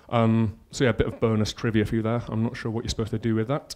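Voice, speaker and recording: In a Yorkshire accent, a man speaks at a medium pitch with a dark, mellow tone on a very clean recording with a silent background. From northern England, Yorkshire. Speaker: conference speaker, front-end consultant. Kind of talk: conference talk. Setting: stage with audience. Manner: casual, filler-heavy.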